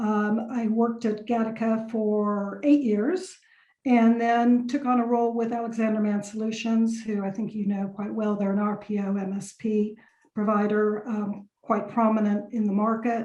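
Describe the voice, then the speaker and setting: A woman with an American accent talks at a moderate pace in a fairly high, somewhat breathy voice. Her intonation is monotone and flat. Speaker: lawyer. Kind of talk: podcast interview. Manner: hesitant fillers.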